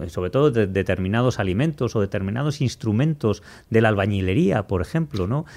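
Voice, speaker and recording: On a very clean recording with a silent background, a man with a normal speaking voice talks at a fairly low pitch with lively intonation. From Spain. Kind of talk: casual chat.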